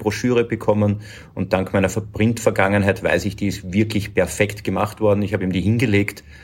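A man with a fairly low pitch speaks in a flat monotone at a moderate pace. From Lower Austria. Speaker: agency managing director. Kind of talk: interview.

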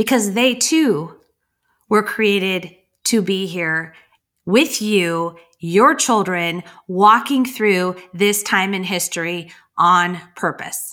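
Bright, sharp and warm in tone, a woman's voice sits at a medium pitch with ordinary pitch variation. She speaks at a very slow pace on a very clean recording with a silent background. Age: 50s. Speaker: podcast host. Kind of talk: solo faith-based encouragement monologue. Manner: warm, earnest, with fillers and repetitions.

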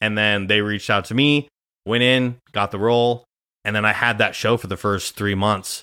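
Speaking at a moderate pace with an American accent, a man uses a bright, sharp tone at a fairly low pitch in a very clean recording with a silent background. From Nebraska, Grand Island. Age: 20s. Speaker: podcast host and actor, guest in this episode. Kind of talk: casual chat. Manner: animated.

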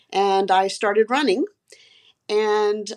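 Over a quiet background comes an unremarkable speaking voice with ordinary pitch variation. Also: woman. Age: 60s. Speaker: physician and amateur triathlete. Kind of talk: casual interview.

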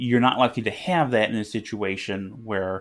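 A man's fairly low voice with fairly even intonation at a fairly slow pace. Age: 30s. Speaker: board game designer and publisher. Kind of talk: casual chat. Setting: remote call.

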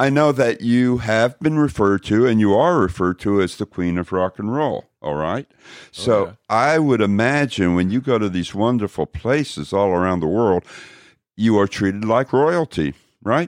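Against a quiet background, a man with an American accent uses a plain, everyday voice at a moderate pace, fairly low in pitch with lively intonation and a dry, close sound with no echo. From Texas, Dallas. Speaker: podcast host. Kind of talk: interview.

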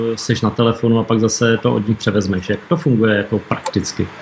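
Noticeable background noise sits behind this man. He talks at a fairly quick pace. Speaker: nonprofit chairman and interviewer. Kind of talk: interview.

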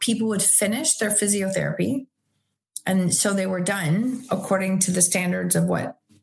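With a Canadian accent and vocal fry, a woman speaks at medium pitch and a moderate pace. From Canada, Ontario (Chatham). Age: 50s. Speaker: kinesiologist. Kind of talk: casual interview chat.

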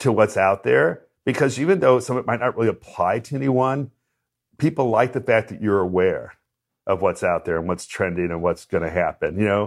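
This is an unremarkable speaking voice from a man with an American accent. He talks at a fairly quick pace and a medium pitch with lively intonation. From US Midwest, St. Louis. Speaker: hairstylist, salon owner. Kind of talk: interview.

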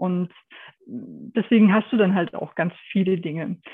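Her voice is a normal speaking voice, as this woman talks at a medium pitch with fairly even intonation. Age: 50s. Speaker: photographer. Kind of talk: interview.

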